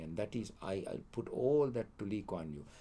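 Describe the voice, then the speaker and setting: A man speaks at a fairly low pitch with lively intonation. His voice is somewhat breathy. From Sri Lanka. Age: 80s+. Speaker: economics lecturer. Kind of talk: interview answer.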